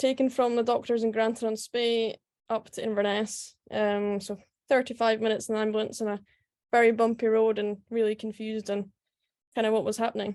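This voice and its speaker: A woman speaks in a Scottish accent at a fairly quick pace and a fairly high pitch. Her intonation is monotone and flat over a quiet background. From Scotland, Aberdeen then Scottish Highlands. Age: 20s. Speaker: professional golfer. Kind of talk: talk at online event.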